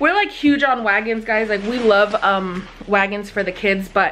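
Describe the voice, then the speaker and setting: Here a woman talks. She keeps a moderate pace. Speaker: parent vlogger. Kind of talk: casual vlog chat. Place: home room. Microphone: phone near.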